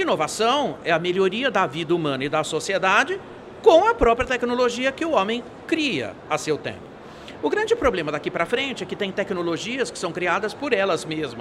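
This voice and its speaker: A man's high-pitched, animated voice with very wide pitch swings, over noticeable background noise. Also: moderate pace. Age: 60s. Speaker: futurist speaker. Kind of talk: interview. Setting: event studio.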